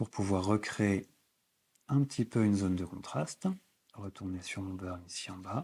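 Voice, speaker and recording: Through a very clean recording with a silent background, a man with a fairly low pitch and a dark, mellow tone speaks at a fairly slow pace, with ordinary pitch variation and long, frequent pauses. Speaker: photography instructor. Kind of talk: tutorial.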